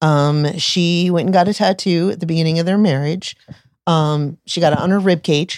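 Recorded dry and close with no echo, a woman with a plain, everyday voice and an American accent speaks at a moderate pace with a fairly low pitch and fairly even intonation. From US Florida. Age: 40s. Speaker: tattoo artist and shop owner. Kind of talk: casual interview chat.

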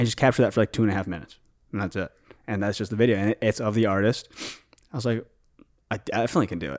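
Talking at a very fast pace with a Chicago accent, a man uses a fairly low pitch and ordinary pitch variation, broken by long, frequent pauses, in a dry, close sound with no echo. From Chicago, Illinois. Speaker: filmmaker and vlogger. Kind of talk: casual chat. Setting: studio.

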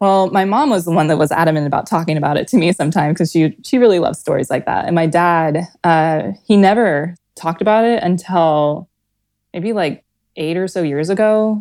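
A woman talks at a fairly quick pace with an American accent. Her pitch is fairly low, with ordinary variation. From US Midwest, Nebraska. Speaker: art director. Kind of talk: casual storytelling interview.

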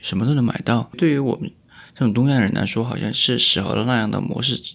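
Very clean recording, silent background, as a man speaks at a fairly quick pace. He has an unremarkable speaking voice at a medium pitch with ordinary pitch variation. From Chongqing (Wanzhou). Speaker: podcast host. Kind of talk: casual chat. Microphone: new microphone.

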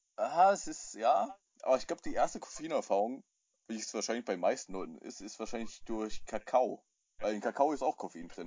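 A man speaks at a fairly quick pace. His loudness swings widely from moment to moment. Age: 20s. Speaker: podcast co-host. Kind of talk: casual chat. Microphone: phone mic on knee, tinny.

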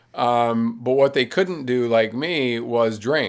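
A man talks at medium pitch in an unremarkable speaking voice. His intonation stays fairly even. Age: 60s. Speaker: writer, ultrarunner and public speaker. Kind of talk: casual interview conversation.

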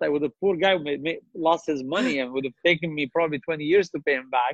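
Ordinary pitch variation runs through a man's fairly high-pitched voice. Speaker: entrepreneur. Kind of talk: interview.

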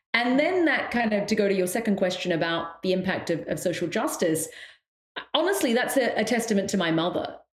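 With lively intonation and very even loudness, a woman of medium pitch talks at a fairly quick pace amid audible room echo. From raised in the West, Sri Lankan Tamil family. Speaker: meditation teacher and professor. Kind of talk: interview conversation.

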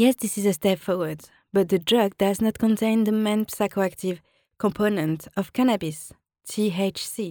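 With a strong French accent, a woman speaks at a moderate pace in a medium pitch and a dark, mellow tone, her intonation fairly even, in a very clean recording with a silent background and a dry, close sound with no echo. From France. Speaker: podcaster on health topics. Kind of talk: solo informational podcast. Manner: earnest, repetitive emphasis.

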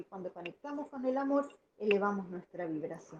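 A woman's voice with very wide pitch swings. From Argentina, Buenos Aires. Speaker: caller. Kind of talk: call-in comment.

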